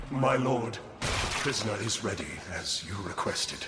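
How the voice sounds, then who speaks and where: A man's put-on character voice at medium pitch and moderate pace, with clear echo and clear background noise. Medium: machinima. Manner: sly, sinister.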